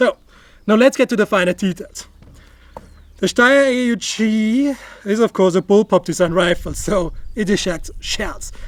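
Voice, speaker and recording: Here a man speaks with an Austrian accent at a high pitch. The sound is dry, with no echo. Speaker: firearms YouTuber; firearms reviewer. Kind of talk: gear review tutorial. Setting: outdoor shooting range. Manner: casual, joking. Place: open country. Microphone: lapel.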